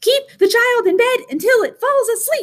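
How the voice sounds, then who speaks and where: This squeaky, put-on character voice moves at a moderate pace. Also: woman. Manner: bouncy, eager.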